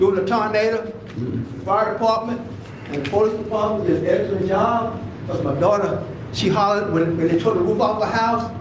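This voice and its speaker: Audible room echo and noticeable background noise surround a man's voice. He talks fairly quickly at a high pitch, with ordinary pitch variation. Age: 70s. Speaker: resident speaking at public comment. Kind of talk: public comment at council meeting. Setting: city council meeting. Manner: halting, many repeated words.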